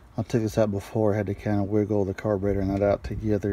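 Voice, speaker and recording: Very rapid delivery in a dry, echo-free sound, with noticeable background noise. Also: man. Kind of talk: tutorial. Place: garden. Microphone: phone near.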